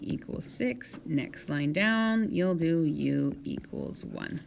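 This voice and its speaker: A woman's very deep, low voice at a very slow pace, with audible room echo. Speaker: high school math teacher. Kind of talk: tutorial.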